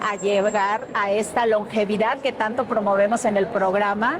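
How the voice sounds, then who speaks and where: A woman speaks at a fairly slow pace in a fairly high pitch, with noticeable background noise. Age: 60s. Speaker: TV show host and journalist. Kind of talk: interview.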